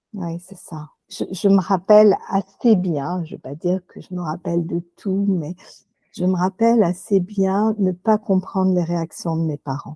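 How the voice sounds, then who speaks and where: A woman talks at a fairly slow pace in a medium pitch, with ordinary pitch variation and a dark, mellow tone. The recording is very clean with a silent background, and the sound is dry and close with no echo. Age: 60s. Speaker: hypnotherapist. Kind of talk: interview. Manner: halting, many fillers.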